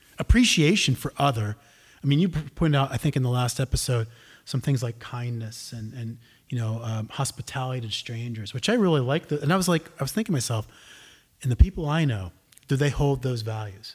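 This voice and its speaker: Somewhat breathy, a man with an American accent speaks at a medium pitch with ordinary variation and a fairly quick pace. The recording is very clean, its background silent. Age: 50s. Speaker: podcast co-host. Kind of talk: casual chat.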